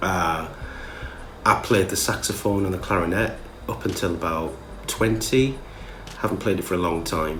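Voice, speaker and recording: In a Geordie accent, a man with a very deep, low pitch and ordinary pitch variation speaks at a moderate pace with long, frequent pauses, amid audible room echo and noticeable background noise. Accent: Geordie (Newcastle). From northern England, Newcastle. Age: 30s. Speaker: musician. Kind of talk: casual vlog monologue.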